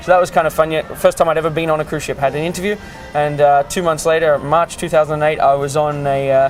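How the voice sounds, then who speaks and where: A man with an Australian accent talks at a very fast pace, his pitch fairly high for a man. His intonation is flat and monotone, with music playing in the background. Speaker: cruise ship art auctioneer. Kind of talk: interview answer. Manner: casual, conversational, frequent hesitations.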